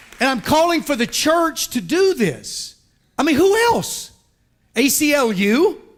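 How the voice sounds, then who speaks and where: An animated man with an American accent speaks fairly slowly in an extremely high voice, his pitch swinging very widely while his loudness stays very even. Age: 50s. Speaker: pastor. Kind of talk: sermon.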